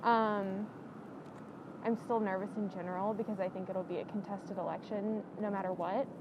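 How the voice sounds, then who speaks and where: Over noticeable background noise, a woman with a medium pitch speaks at a moderate pace in a monotone, flat intonation. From Alabama. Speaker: student voter interviewee. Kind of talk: street interview.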